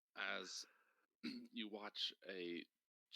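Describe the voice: Someone reads aloud plainly over a quiet background.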